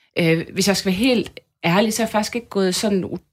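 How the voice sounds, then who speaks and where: This woman has a medium pitch and ordinary pitch variation. It is a normal speaking voice. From Denmark, Aarhus area (Tilst). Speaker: journalist and demonstration organiser. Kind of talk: radio interview.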